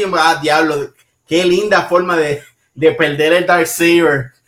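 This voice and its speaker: Speaking at a fairly slow pace, a man with a Puerto Rican accent has a high pitch. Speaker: podcast co-host. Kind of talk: casual chat. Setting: live stream.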